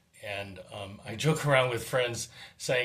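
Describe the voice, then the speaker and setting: Room echo can be clearly heard as a man talks. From California, Monterey Peninsula. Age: 60s. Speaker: dentist. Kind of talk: testimony. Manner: halting.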